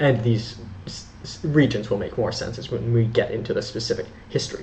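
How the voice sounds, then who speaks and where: Audible room echo surrounds the speaker. A man talks at a moderate pace and medium pitch. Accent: Canadian. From Canada. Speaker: history educator. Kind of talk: educational lecture. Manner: halting, frequent self-corrections.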